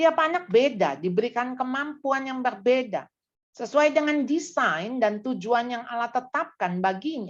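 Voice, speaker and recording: Here a woman speaks with lively intonation. Her voice is high-pitched. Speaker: parenting seminar speaker. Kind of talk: church seminar talk.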